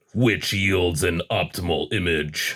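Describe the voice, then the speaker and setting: Raspy and very deep, a man's put-on character voice moves at a fairly slow pace. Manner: slow, theatrical, portentous.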